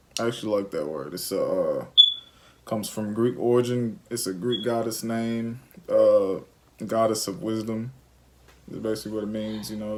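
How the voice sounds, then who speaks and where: A man with an Alabama accent and a dark, mellow tone talks at a moderate pace, with long, frequent pauses. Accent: Southern US (Alabama). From Alabama, US South. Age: 20s. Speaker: parenting vlogger. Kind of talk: casual chat.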